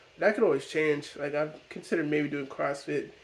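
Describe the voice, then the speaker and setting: The speaker is a man with a fairly high pitch. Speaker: fitness and art content creator. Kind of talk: casual vlog monologue.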